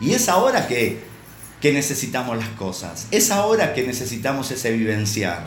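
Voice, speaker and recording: Fairly slow speech with very wide pitch swings, amid audible room echo and noticeable background noise. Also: man. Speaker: preacher. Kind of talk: sermon. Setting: online church service. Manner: halting, with many repeated words.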